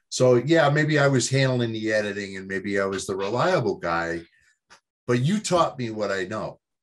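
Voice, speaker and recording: In an ordinary speaking voice, a man talks at a moderate pace with medium pitch and lively intonation. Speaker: baseball writer guest. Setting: video call from home.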